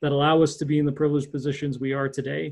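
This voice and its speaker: A man with a Canadian accent speaks in a fairly high pitch, sounding somewhat breathy. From Ontario, Canada (Hamilton area). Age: 30s. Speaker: economic development strategist. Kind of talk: interview.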